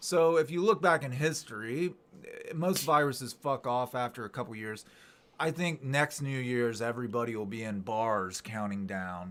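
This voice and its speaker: A man with an ordinary speaking voice talks at a moderate pace and a medium pitch. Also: lively intonation. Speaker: YouTuber hosting live chat. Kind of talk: casual live stream chat. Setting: live stream.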